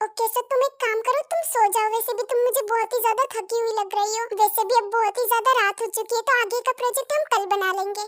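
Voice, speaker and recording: Using a put-on character voice, a woman talks very fast at an extremely high pitch in a dry, close sound with no echo. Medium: read story. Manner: intense, possessive.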